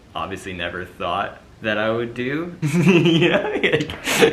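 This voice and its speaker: A man with a Canadian accent talks in a room with audible echo. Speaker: pageant commentator, YouTuber's partner. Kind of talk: casual vlog monologue. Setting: sitting in front of a camera. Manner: monotone; halting, many fillers.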